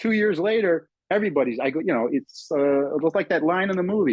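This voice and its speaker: Speaking fairly quickly with an American accent, a man with a high pitch makes very wide pitch swings. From US Northeast. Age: 60s. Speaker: professional gambler. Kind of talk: podcast interview. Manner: halting.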